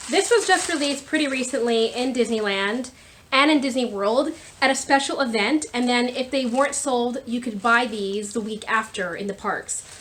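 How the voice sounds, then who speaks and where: High-pitched woman's voice with an animated tone, ordinary pitch variation, moderate pace, and noticeable background noise. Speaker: YouTuber showing a shopping haul. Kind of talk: casual haul video talk. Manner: loud.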